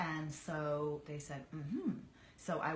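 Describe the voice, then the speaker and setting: A woman with an American accent speaks in a room with audible echo and noticeable background noise. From Virginia, US. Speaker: actress. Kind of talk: casual chat.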